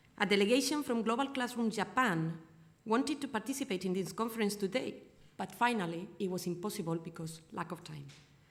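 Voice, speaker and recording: A woman with a Spanish accent speaks at a fairly quick pace, her medium-pitched voice somewhat breathy and her intonation lively. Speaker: foundation representative. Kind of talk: welcome speech.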